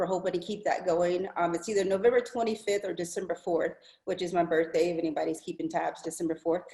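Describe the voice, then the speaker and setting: A woman with an American accent talks at a very fast pace. Background noise is noticeable. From Kansas. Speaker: college basketball coach. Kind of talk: video call introduction. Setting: video call.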